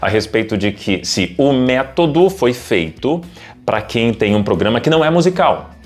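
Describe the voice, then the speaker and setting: Music behind a man speaking at a moderate pace, his pitch swinging very widely. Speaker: radio announcer and broadcasting coach. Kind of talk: casual talk to camera, educational commentary for radio presenters.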